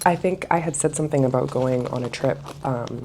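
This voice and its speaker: A woman is whispering at a moderate pace amid noticeable background noise. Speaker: travel vlogger. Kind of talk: casual vlog talk to camera. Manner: casual, filler-heavy.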